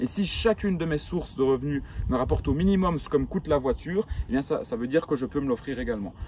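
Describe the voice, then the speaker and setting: With a strong Belgian accent, a man speaks at a very fast pace. His pitch is fairly high, and there is noticeable background noise. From rural Belgium. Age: 20s. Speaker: entrepreneur youtuber. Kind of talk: vlog monologue. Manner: casual, hesitant fillers.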